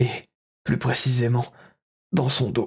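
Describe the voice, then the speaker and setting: Putting on a character voice, a man speaks in a raspy, solemn tone at a medium pitch and a fairly slow pace. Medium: actual play. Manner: solemn, pleading.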